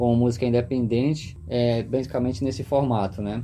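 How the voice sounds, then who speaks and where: A man speaks at a fairly slow pace, his tone dark and mellow and his voice somewhat breathy. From Pará, northern Brazil. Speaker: musician, guitarist and singer-songwriter. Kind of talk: casual podcast interview.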